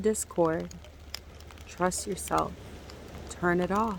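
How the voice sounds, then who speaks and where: A soft-spoken woman is heard here. She talks at a fairly slow pace. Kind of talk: ASMR spiritual healing meditation. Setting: outdoors by the sea, with rain and waves.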